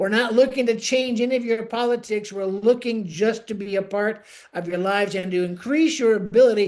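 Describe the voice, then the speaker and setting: With an American accent, a man speaks at a high pitch against a quiet background. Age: 70s. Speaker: missionary. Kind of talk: missionary report. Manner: casual, conversational.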